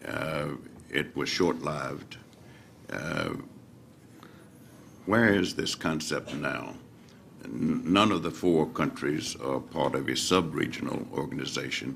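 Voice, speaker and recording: The speaker's intonation is lively and the voice has vocal fry, delivered at a very slow pace with long, frequent pauses. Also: man, very deep, low pitch for a man. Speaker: interviewer. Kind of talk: interview questions. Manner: halting.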